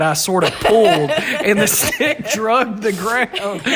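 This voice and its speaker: Against noticeable background noise, a man with an American accent talks at a fairly slow pace, his high pitch carrying lively intonation. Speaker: podcast guest, host's brother. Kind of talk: casual chat.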